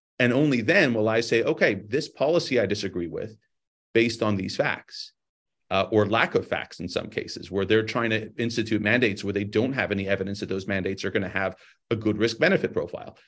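Talking at a very fast pace, a man with a Californian accent keeps a medium pitch and ordinary pitch variation. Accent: California American. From Los Angeles, San Fernando Valley. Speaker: ophthalmologist and research scientist. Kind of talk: interview. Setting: remote video call, on the road.

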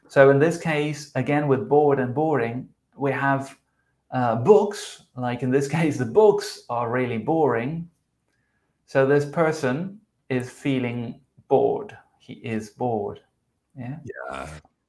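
A man with a South American accent and a fairly high pitch, very slow pace, long and frequent pauses, and big swings in loudness. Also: ordinary pitch variation. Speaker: podcast co-host, English teacher. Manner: explanatory, teacherly.

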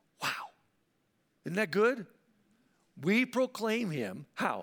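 This man talks at a very slow pace in a high pitch. His pitch swings very widely. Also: very clean recording, silent background. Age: 60s. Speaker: pastor. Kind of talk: sermon. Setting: church.

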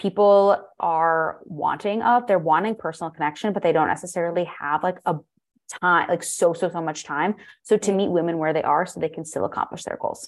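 A woman's ordinary speaking voice with an American accent, fairly low in pitch, fairly quick in pace and fairly even in intonation. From US. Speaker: holistic nutritionist and life coach. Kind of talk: interview.

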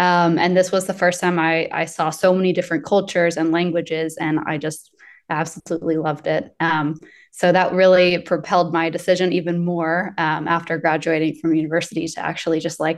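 In an American accent, a woman uses an unremarkable speaking voice at fairly low pitch and a fairly quick pace over a quiet background. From US South, Asheville, North Carolina. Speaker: employer branding specialist. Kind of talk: interview conversation.

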